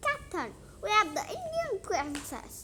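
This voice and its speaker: A woman in a put-on character voice speaks at a fairly slow pace, raised and projected, her extremely high pitch making very wide swings over clear background noise. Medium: read story.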